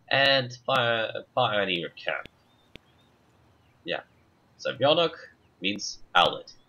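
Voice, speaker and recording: With a Russian accent, a man speaks at a very slow pace with lively intonation and long, frequent pauses. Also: medium pitch for a man. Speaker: gamer. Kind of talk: gameplay commentary, reading game text aloud. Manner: halting.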